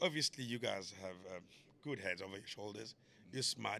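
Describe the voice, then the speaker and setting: The voice is loud, with a bright, sharp tone. It moves at a fairly quick pace. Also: man. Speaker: comedian. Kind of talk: podcast conversation.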